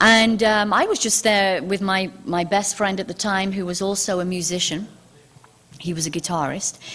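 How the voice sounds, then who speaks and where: A woman with a British accent and fairly even intonation. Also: medium pitch for a woman, moderate pace. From England. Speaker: UFO author and TV host. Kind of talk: public talk. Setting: stage with audience. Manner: hesitant, many fillers.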